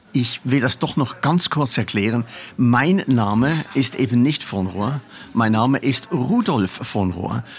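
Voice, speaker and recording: Speech comes at a very slow pace with lively intonation. Noticeable background noise is present. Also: man, medium pitch for a man. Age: old. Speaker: carnival veteran, former committee chairman. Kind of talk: interview. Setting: café. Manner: animated.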